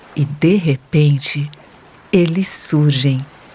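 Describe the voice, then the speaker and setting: A woman speaks at a very slow pace in a calm, gentle tone, with noticeable background noise behind her. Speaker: meditation guide for children. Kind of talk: children's guided meditation narration. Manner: soft-spoken, calm, gentle.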